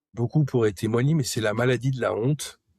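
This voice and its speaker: This is a man with a somewhat breathy voice and ordinary pitch variation. The recording is very clean, with a silent background. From Paris region, France. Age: 40s. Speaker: person recovering from hoarding disorder. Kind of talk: personal testimony interview. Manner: halting, frequent hesitations.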